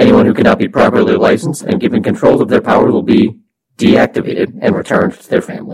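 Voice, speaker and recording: A man talks at a very fast pace in a put-on character voice, his high, raspy voice swinging widely in loudness. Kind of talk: official proclamation. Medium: actual play. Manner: formal, authoritative.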